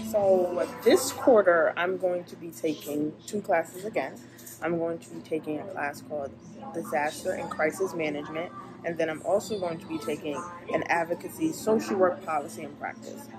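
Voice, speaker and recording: A woman talks at an unhurried, moderate pace. Clear music can be heard behind her. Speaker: graduate student vlogger. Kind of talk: casual vlog chat. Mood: relaxed, upbeat. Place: cafe. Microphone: phone near.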